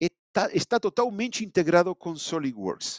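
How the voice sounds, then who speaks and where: With a dry, close sound, no echo and a quiet background, a man speaks in a high voice with lively intonation. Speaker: simulation engineer presenting software. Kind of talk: online webinar presentation. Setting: live online event. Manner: halting, with many fillers.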